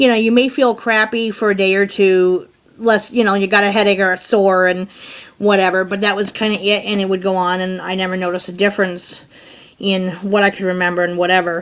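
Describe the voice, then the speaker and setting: The speech comes at a fairly quick pace. The intonation is monotone and flat. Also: woman, medium pitch for a woman. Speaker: chronic pain channel host. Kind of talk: interview. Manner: stutters when tired.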